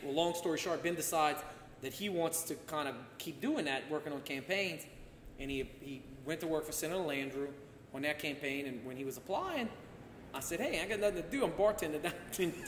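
Speaking at a fairly quick pace, a man is heard over light background noise with audible room echo. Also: ordinary pitch variation. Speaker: podcast guest, former politician. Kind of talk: interview answer. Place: home room.

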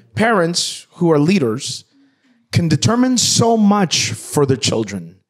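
A man speaks very slowly in a passionate tone, his high pitch swinging very widely. The background is quiet. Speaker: pastor. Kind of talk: sermon preached to a congregation. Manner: passionate, emphatic preaching. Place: studio. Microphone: handheld.

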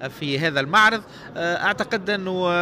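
Moderate pace from a man, dry sound with no echo, noticeable background noise. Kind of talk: interview answer. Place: hall. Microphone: handheld.

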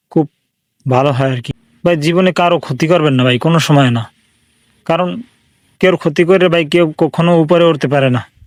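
The speaker keeps a very even loudness and talks with a Bangladeshi accent. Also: man, fairly high pitch for a man, ordinary pitch variation. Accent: regional Bangladeshi dialect. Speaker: YouTube DIY creator. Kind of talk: tutorial. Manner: casual, informal.

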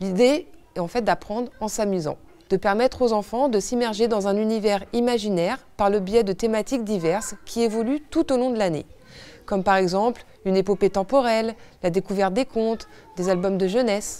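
On a very clean recording with a silent background, a woman speaks at a medium pitch in a dark, mellow tone, at a moderate pace with ordinary pitch variation. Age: 30s. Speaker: director of an after-school childcare service. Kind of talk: scripted presentation. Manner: formal.

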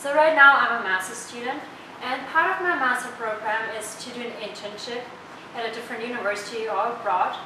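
Over noticeable background noise and audible room echo, a woman talks at a fairly quick pace and a fairly high pitch, with ordinary pitch variation and big swings in loudness. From Germany. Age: 20s. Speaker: student intern. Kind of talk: testimonial.

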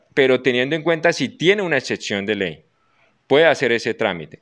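His intonation is lively, and the background around the man stays quiet. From Colombia. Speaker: army officer, head of military recruitment zone. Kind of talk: interview. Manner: formal. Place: office. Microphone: handheld.

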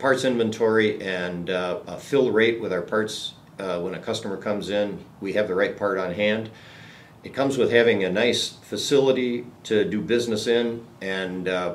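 A man speaks in a plain, everyday voice with a fairly low pitch. His intonation is fairly even and his pace moderate. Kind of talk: interview answer. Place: meeting room.

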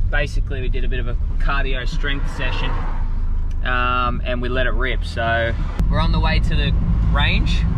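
Loud background noise surrounds a man speaking at a moderate pace. The sound is dry, with no echo. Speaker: vlogger. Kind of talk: casual vlog chat. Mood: relaxed, upbeat. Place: car. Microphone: phone near.

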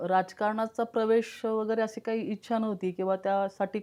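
In a very clean recording with a silent background, a woman with a dark, mellow tone speaks in a monotone, flat way. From Pimpri-Chinchwad, Pune, Maharashtra. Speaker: politician. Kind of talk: interview. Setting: studio.

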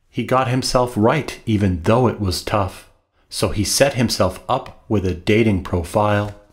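A man's somewhat breathy, fairly low voice at a fairly slow pace, with ordinary pitch variation. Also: quiet background. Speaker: author. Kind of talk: humorous rhyming book reading. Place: home room.

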